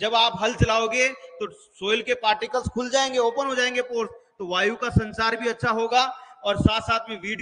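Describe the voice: A man with a high pitch and a bright, sharp tone at a moderate pace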